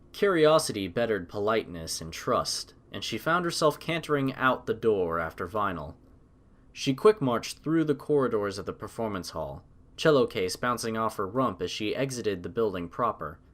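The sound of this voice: A man talks with fairly low pitch. His intonation is lively. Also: moderate pace, fairly bright tone.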